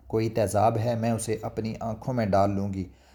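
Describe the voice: The recording captures plain reading aloud. Its intonation holds fairly even throughout.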